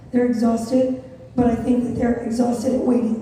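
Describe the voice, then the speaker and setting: A woman's high voice in an American accent, monotone and flat in intonation, with audible room echo and noticeable background noise. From Las Vegas, US. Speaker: content creator and moderator. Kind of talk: onstage interview.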